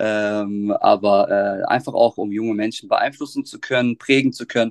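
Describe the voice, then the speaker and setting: With a dry, close sound and no echo, the man's speech moves at a moderate speed. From Germany, Offenbach (Hesse). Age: 30s. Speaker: teacher and youth football coach. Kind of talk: podcast interview. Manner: hesitant, many filler sounds.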